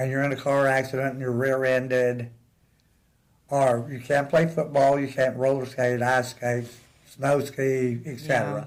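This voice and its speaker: Audible room echo surrounds a man with an American accent at a medium pitch. He talks at a moderate pace with monotone, flat intonation. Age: 70s. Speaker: interview guest. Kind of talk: casual chat.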